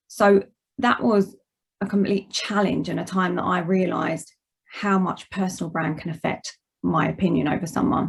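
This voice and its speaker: In an Essex accent, a woman talks at a medium pitch. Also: ordinary pitch variation, moderate pace. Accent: Essex accent, noticeable. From Essex, England. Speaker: managing director, guest speaker. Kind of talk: presentation talk.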